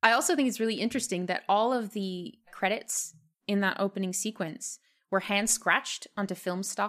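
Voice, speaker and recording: In a very clean recording with a silent background, a woman talks in an ordinary speaking voice. Her pitch is medium with ordinary variation, and her pace is moderate. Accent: American. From United States. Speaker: horror film podcast co-host. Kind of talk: casual podcast discussion.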